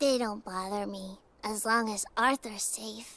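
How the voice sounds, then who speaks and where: A female-sounding voice performs a put-on character voice at a medium pitch. The pace is fairly slow. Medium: fan dub.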